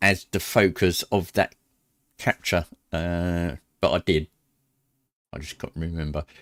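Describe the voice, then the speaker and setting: A man speaks loudly at a fairly slow pace with a British accent. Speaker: sim racing streamer. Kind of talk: casual livestream commentary. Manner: halting, many fillers.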